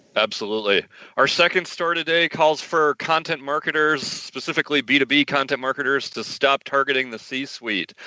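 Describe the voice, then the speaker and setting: A man's ordinary speaking voice at a fairly quick pace with ordinary pitch variation. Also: fairly high pitch for a man. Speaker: podcast host. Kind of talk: casual interview.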